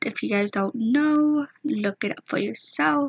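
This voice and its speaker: The voice is somewhat breathy and has lively intonation. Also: woman. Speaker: YouTuber. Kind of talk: casual storytelling vlog. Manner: hesitant; whispering. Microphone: may be too quiet.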